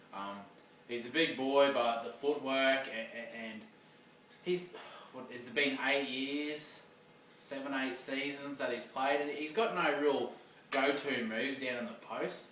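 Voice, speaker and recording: With an Australian accent, the speaker goes at a fairly slow pace with ordinary pitch variation, long, frequent pauses and big swings in loudness. Audible room echo and noticeable background noise fill the recording. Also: man, fairly high pitch for a man. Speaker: sports vlogger. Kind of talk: casual monologue vlog. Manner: hesitant, many ums and repeats.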